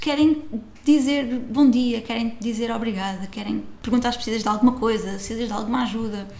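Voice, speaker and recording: A woman talks at a fairly quick pace and a fairly high pitch with fairly even intonation, with audible room echo and noticeable background noise. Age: 30s. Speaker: travel blogger. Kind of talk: casual interview chat.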